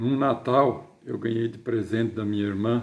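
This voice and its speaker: A man with a dark, mellow tone talks at a very slow pace. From southern Brazil (Rio Grande do Sul / western Paraná). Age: 60s. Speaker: writer. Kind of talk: personal storytelling to camera. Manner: halting, with repeated words.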